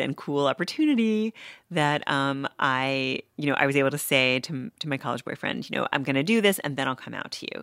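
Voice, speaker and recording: In an American accent, a woman with a very deep, low pitch talks at a fairly quick pace with lively intonation and hardly any pauses, the sound dry and close with no echo on a very clean recording with a silent background. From New York City. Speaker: author. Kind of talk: interview. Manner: hesitant, many fillers.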